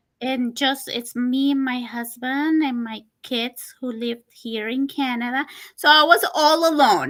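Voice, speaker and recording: On a very clean recording with a silent background, a woman speaks in a Spanish accent. Her pitch is high, her pace fairly slow and her intonation fairly even. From Costa Rica. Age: 40s. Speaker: person living with diabetes. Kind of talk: interview. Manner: halting.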